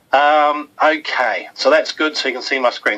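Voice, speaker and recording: A man talks with a New Zealand accent. His pitch is fairly high, and there is noticeable background noise. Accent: funny accent (New Zealand). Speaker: webinar host. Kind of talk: webinar presentation. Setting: online webinar from office. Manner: casual, hesitant with fillers.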